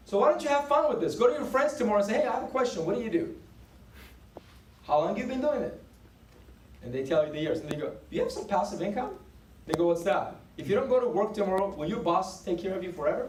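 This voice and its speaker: A man with a high pitch and an animated tone speaks very fast, with very wide pitch swings and long, frequent pauses, amid audible room echo. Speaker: business team leader. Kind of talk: motivational sales meeting talk.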